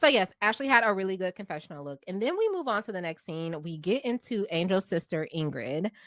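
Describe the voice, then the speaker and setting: An ordinary speaking voice at a fairly quick pace, with lively intonation, big swings in loudness and hardly any pauses, in a dry, close sound with no echo. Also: woman, medium pitch for a woman. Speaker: TV recap creator. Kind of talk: casual chat.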